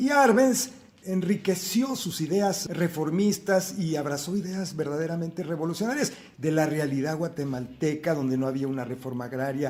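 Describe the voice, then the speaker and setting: Over noticeable background noise, a man speaks at a moderate pace. His high-pitched voice has lively intonation. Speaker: son of the poet being interviewed, speaking about history and his mother's life. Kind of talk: interview answer.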